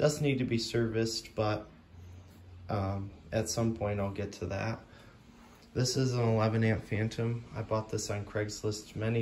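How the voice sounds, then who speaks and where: A somewhat breathy man's voice, fairly low in pitch, at a moderate pace over light background noise. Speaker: vacuum cleaner collector and video creator. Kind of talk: show-and-tell video. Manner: casual, with many fillers. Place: home room. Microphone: phone near.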